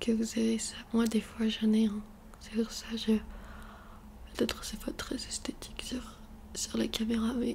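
Soft-spoken and at a fairly slow pace, the voice leaves long, frequent pauses over light background noise. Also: woman. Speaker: ASMR youtuber. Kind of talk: ASMR skincare tutorial. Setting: bedroom near the street. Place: home room. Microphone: studio mic.

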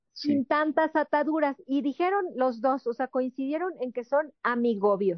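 A woman with a high pitch and lively intonation talks at a fairly slow pace with hardly any pauses, the sound dry with no echo and the background quiet. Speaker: entertainment show host. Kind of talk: panel show conversation and interview. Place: studio.

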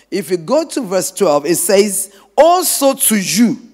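A man's animated voice with very wide pitch swings against a quiet background. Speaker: preacher. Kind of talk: sermon. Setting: church. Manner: animated, call-and-response preaching; emphatic, repeating phrases for effect. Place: church. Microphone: handheld.

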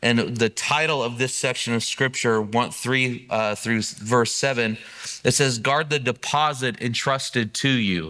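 A man's bright, sharp tone at a fairly slow pace, with very even loudness and fairly even intonation, over a quiet background. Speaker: preacher. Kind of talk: sermon. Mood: earnest, prayerful then conversational. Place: church.

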